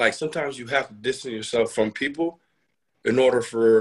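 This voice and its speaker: A man speaks at a fairly quick pace, with medium pitch and ordinary pitch variation. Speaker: guest.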